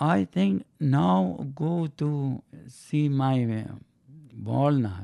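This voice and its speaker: A man talks with a Persian accent and lively intonation. His tone is dark and mellow, and the background is quiet. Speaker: interviewee, host's father. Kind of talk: casual chat. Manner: halting.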